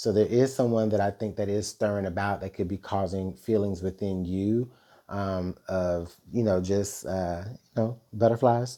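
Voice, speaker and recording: A man with a dark, mellow tone and a fairly low pitch speaks at a fairly slow pace with fairly even intonation. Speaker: tarot reader. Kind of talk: tarot reading monologue. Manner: halting, many fillers.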